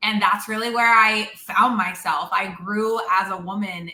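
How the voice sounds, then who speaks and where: A woman talks at a moderate pace with a medium pitch and fairly even intonation. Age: 30s. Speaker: network marketer. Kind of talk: interview. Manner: loud.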